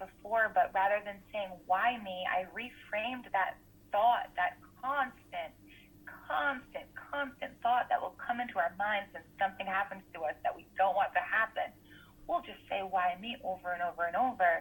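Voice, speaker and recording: With lively intonation and big swings in loudness, a woman with an American accent talks at a moderate pace and medium pitch over noticeable background noise. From US Northeast, Rhode Island. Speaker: school counselor and wellness coach. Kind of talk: interview, personal testimony.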